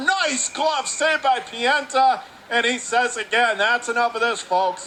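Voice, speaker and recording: Over noticeable background noise, a man with an extremely high pitch speaks in a raised, projected voice. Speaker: radio play-by-play announcer. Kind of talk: live hockey play-by-play commentary. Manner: fast.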